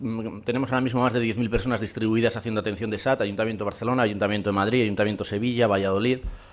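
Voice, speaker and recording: A man talks at a very fast pace with hardly any pauses. His intonation is monotone and flat. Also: medium pitch for a man. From Spain, Burgos. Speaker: conference speaker, company representative. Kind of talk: conference presentation. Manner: hesitant, many fillers.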